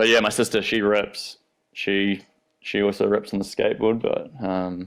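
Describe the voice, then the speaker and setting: A man with a New Zealand accent is heard in a very clean recording against a silent background. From New Zealand, South Island. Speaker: professional skateboarder. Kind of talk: casual interview chat. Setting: podcast studio.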